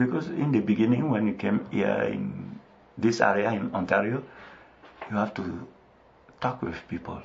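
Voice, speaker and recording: Speaking with a West African French accent, a man with a fairly low pitch moves at a moderate pace through very wide pitch swings, leaving long, frequent pauses. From Ivory Coast. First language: French (mother tongue Bété). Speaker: missionary. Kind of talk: radio interview. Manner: halting, with hesitations.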